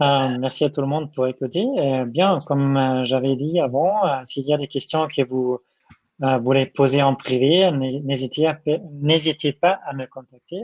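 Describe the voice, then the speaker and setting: With a German accent, a man with a fairly high-pitched voice talks at a fairly slow pace using fairly even intonation. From Germany. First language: German (speaking French). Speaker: software developer advocate. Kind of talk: Q&A session in a tech talk. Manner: halting, many hesitations.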